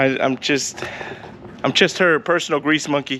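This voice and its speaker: A man talks fairly slowly while noticeable noise can be heard behind him. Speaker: car YouTuber and mechanic. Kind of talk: casual garage vlog. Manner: stuttering.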